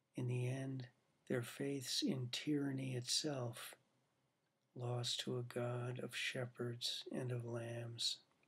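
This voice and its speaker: Speaking at a very slow pace, a man keeps a medium pitch and a monotone, flat intonation. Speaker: poet reading own work. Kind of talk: poem reading, read aloud from his own long poem. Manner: measured, deliberate, formal cadence. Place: home room. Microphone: webcam.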